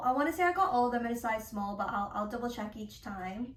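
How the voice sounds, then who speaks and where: A woman speaks with a high pitch. Her voice carries audible room echo. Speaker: fashion YouTuber. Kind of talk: try-on haul vlog. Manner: casual, chatty.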